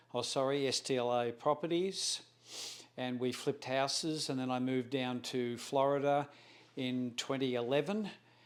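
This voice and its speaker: With an Australian accent, a man talks at a fairly slow pace, his medium pitch held in fairly even intonation. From Australia, Melbourne. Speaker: real estate broker. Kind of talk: self-introduction interview. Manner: halting, with fillers and self-corrections.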